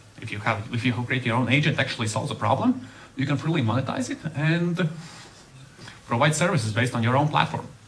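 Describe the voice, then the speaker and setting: Pauses are long and frequent, though a man speaks at a very fast pace between them. His pitch is medium, and audible room echo can be heard. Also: ordinary pitch variation. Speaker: software developer. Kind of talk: conference talk.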